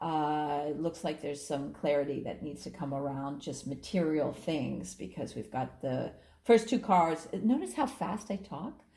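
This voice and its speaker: A woman's very deep, low voice with vocal fry, a dark, mellow tone and lively intonation. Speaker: astrologer and tarot reader. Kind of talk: tarot reading video. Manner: animated.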